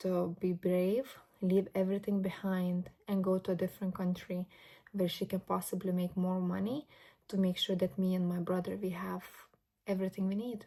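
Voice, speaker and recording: With a Lithuanian accent, a woman speaks at a moderate pace and medium pitch in a dark, mellow tone, somewhat breathy, with monotone, flat intonation, on a very clean recording with a silent background. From Lithuania, moved to Ireland at twelve. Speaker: vlogger. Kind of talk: casual vlog monologue. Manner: reflective, conversational.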